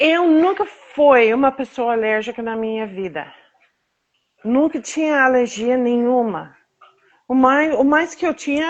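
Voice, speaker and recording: Her intonation is lively. The woman's voice sits high in pitch. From United States. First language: English (speaking Portuguese). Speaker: patient advocate, association founder. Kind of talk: interview, personal testimony. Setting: live video stream. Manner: halting, with fillers.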